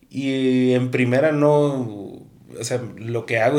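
An unremarkable speaking voice from a man, medium in pitch, with fairly even intonation. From Guatemala City. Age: young. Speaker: musician and music promoter. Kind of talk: casual chat.

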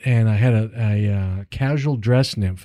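A man with an American accent speaks in an ordinary speaking voice at medium pitch, with ordinary pitch variation. The sound is dry and close with no echo, on a very clean recording with a silent background. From Northern California. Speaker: fly tier and fishing travel specialist. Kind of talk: casual interview. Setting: studio.

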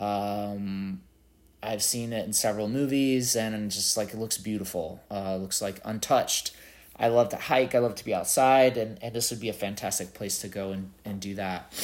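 A man uses a normal speaking voice with a fairly low pitch. His pace is moderate and his intonation fairly even. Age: 40s. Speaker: podcast host. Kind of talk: solo monologue answering interview questions. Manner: casual with many filler words.

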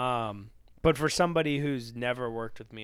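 With an ordinary speaking voice, a man talks at a moderate pace and medium pitch with ordinary pitch variation. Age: 20s. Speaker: recording studio owner and music producer. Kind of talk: casual interview chat.

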